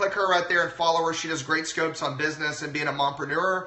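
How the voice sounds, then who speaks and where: Loud male speech in an American accent, with audible room echo and noticeable background noise. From Texas. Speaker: chiropractor. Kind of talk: live-stream health talk. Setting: live video stream.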